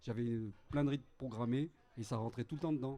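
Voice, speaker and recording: Speaking at a fairly quick pace, a man uses a medium-pitched, dark and mellow voice with fairly even intonation. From Grenoble, France. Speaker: keyboard player. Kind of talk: interview. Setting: café with audience.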